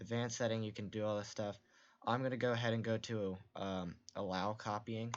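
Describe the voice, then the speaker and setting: Soft-spoken, a man talks at a fairly quick pace and a fairly low pitch. His intonation stays fairly even. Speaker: game development streamer. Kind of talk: tutorial. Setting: live stream.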